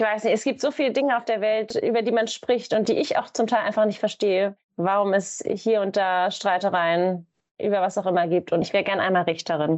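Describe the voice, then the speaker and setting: An ordinary speaking voice at a fairly quick pace, with ordinary pitch variation and very even loudness. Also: woman, medium pitch for a woman. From Germany, Hamburg. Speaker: events manager. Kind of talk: casual interview.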